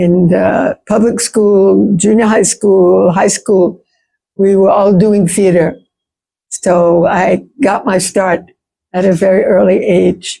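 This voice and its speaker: A woman speaks very slowly in a New York accent, her medium-pitched voice dark and mellow with vocal fry. Her intonation is monotone and flat, and her loudness stays very even. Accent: New York American. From US, New York. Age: 70s. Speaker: playwright and theatre practitioner. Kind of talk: seminar talk.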